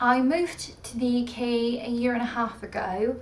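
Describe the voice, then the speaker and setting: Background noise is noticeable. The room also has an audible echo. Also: woman. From Russia. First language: Russian. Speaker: book vlogger. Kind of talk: casual vlog talk.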